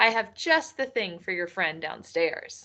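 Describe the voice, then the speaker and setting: A woman uses a put-on character voice at a medium pitch. She speaks at a fairly slow pace against a quiet background. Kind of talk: bedtime story. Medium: read story. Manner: warm, gentle.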